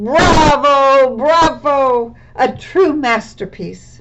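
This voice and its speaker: High-pitched and female-sounding, a put-on character voice moving at a very slow pace. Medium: read story. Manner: timid, helpful.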